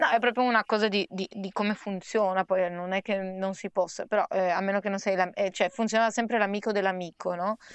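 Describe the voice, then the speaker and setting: A woman's plain, everyday voice at a medium pitch, fairly quick and with hardly any pauses, in fairly even intonation. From Trieste, Italy. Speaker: singer. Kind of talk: conversational interview.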